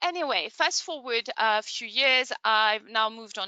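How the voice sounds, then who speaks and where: A woman with a French accent speaks at a fairly high pitch with lively intonation. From France. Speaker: online training consultant. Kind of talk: webinar presentation. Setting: online webinar.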